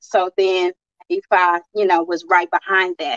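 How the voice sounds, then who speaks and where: A woman talks in a normal speaking voice at medium pitch and a fairly slow pace. The sound is dry and close, with no echo. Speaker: spiritual teacher and guest. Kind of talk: interview conversation.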